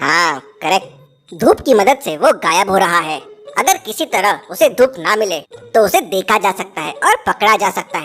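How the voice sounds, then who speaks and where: Faint music plays in the background as a woman talks at a moderate pace in a cartoonish character voice. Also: medium pitch for a woman. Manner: knowing, teacherly.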